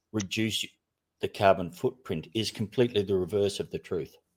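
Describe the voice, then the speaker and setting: Fairly low-pitched man with an Australian accent, moderate pace and fairly even intonation, in a dry, close sound with no echo. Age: 60s. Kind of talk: casual chat. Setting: online group call.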